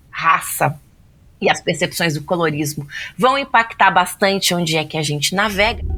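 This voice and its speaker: A woman's fairly low voice with lively intonation at a moderate pace, music playing in the background. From Brazil. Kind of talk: podcast interview.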